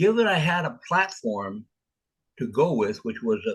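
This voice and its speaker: A man's voice with very wide pitch swings. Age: 70s. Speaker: author. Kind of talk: interview. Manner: halting.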